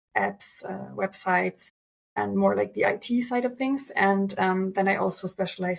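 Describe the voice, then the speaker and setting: A woman speaks with a German accent and a somewhat breathy voice. Her pace is fairly slow. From Germany. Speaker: translator. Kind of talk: interview.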